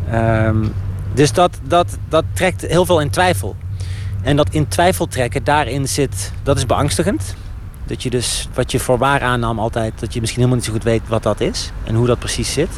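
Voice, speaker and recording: Noticeable background noise sits behind a man's voice. He talks at a moderate pace and medium pitch with lively intonation. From Netherlands, Eindhoven. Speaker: novelist. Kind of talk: casual interview while walking. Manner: halting, many repetitions.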